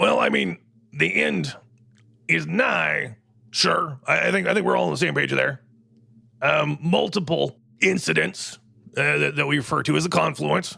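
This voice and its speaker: Using a raspy, put-on character voice, a man speaks at a moderate pace with long, frequent pauses. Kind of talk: talk-radio host comedy. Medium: audio drama. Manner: rambling, digressive, confidently wrong.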